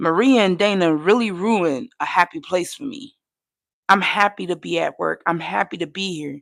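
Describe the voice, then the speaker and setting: Speaking at a moderate pace with vocal fry, a woman at a medium pitch sounds animated, her intonation lively and her loudness swinging widely, captured dry and close with no echo. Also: very clean recording, silent background. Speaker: vlogger. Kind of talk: personal vlog monologue.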